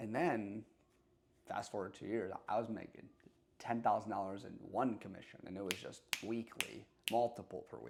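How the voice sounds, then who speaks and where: A man speaks at a moderate pace with a fairly low pitch, ordinary pitch variation and vocal fry. His loudness swings widely. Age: 20s. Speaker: salesman. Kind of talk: casual talk to camera. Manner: unscripted, unedited.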